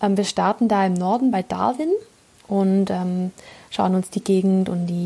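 Her voice somewhat breathy and dark and mellow in tone, a woman speaks with fairly even intonation. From southern Germany. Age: 20s. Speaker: podcast host. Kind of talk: monologue. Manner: hesitant, many fillers.

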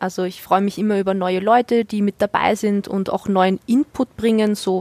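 In a dry, close recording with no echo and a silent, very clean background, a woman with an ordinary speaking voice talks at a moderate pace, at a medium pitch, with fairly even intonation. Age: 20s. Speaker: gamer and streamer. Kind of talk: casual chat.

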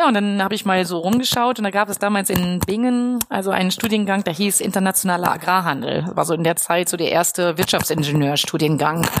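Noticeable background noise sits behind the speech. The woman's delivery moves at a fairly quick pace. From Westphalia, Germany (Lippstadt). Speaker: professor of agricultural business. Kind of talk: interview. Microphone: poor recording quality.

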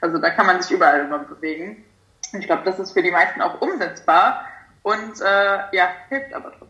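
Noticeable background noise sits behind a woman speaking at a medium pitch. She talks at a fairly quick pace with very wide pitch swings. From Germany, near Frankfurt am Main. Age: 20s. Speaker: nutrition coach. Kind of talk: casual interview chat. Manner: hesitant, many fillers.

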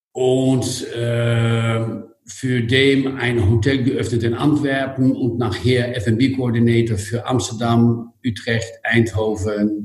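A man with a Dutch accent, medium-pitched and somewhat breathy, at a very slow pace. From Netherlands. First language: Dutch (speaking German). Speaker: hotel group executive. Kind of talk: interview.

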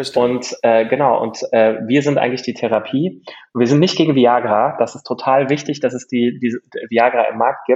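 This man's voice sits at a medium pitch. He talks at a moderate pace with fairly even intonation. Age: 30s. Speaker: startup founder. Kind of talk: interview. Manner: halting.

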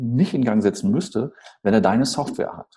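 Somewhat breathy and dark, mellow in tone, a man at a medium pitch speaks at a fairly slow pace with very wide pitch swings. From northern Germany, Schleswig-Holstein (Eutin area). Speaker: storytelling speaker and sales trainer. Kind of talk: interview. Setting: video call.

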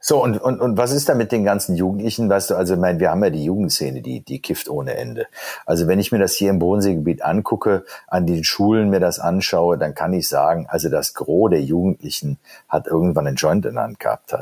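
Speech races at a very fast pace with lively intonation, vocal fry and a dark, mellow tone. The recording is very clean, the background silent. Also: man, very deep, low pitch for a man. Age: 50s. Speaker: lawyer and podcast host. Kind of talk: podcast interview. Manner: repetitive, stammering.

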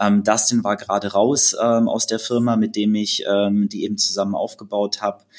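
With hardly any pauses, a man keeps to a moderate pace. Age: 30s. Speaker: fitness blogger. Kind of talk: podcast interview.

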